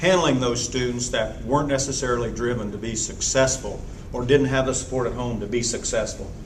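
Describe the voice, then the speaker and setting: A man speaks at a fairly quick pace with an American accent and fairly even intonation. Noticeable background noise and audible room echo fill the recording. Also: medium pitch for a man. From southern Indiana (Columbus). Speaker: retired agriculture teacher. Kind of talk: casual reminiscing. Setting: anniversary celebration event.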